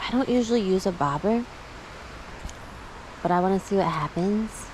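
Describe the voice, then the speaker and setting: Upbeat in tone, a woman speaks at a moderate pace and medium pitch with ordinary pitch variation. Background noise is noticeable. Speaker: fishing vlogger. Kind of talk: casual vlog. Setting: outdoors. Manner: loud.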